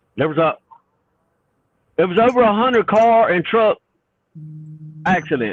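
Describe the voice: A man with a Southern US accent has a high pitch. He speaks at a fairly slow pace with lively intonation.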